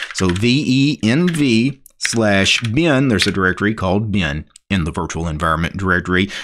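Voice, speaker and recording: In a normal speaking voice, a man with a fairly low pitch talks at a moderate pace, his intonation lively and hardly any pauses. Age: 40s. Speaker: tech YouTuber. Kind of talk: tutorial.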